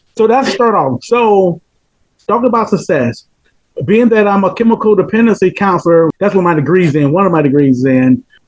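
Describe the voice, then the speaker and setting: High-pitched man with a southern Georgia accent, lively intonation, very even loudness and a fairly quick pace. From US South, rural Georgia. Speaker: chemical dependency counselor. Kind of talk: casual interview chat.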